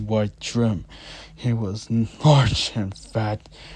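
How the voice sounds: Reading voice, natural in tone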